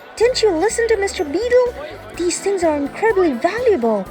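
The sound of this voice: A put-on character voice at an extremely high pitch runs at a fairly quick pace over clear background music.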